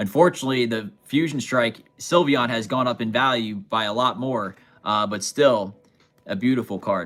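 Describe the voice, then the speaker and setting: With lively intonation, a man talks in a normal speaking voice at a medium pitch and moderate pace. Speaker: card collector livestreamer. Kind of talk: live stream chat. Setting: live stream. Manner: casual, chatty.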